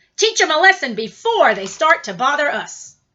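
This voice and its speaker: Doing a put-on character voice at a high pitch, a woman speaks at a moderate pace with very wide pitch swings and big swings in loudness. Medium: read story. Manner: gruff, combative.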